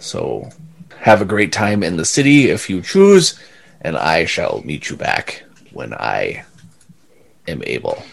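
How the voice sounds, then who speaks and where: A man puts on a character voice, talking at a fairly slow pace with long, frequent pauses. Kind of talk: fantasy tabletop game master voice. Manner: formal, reassuring.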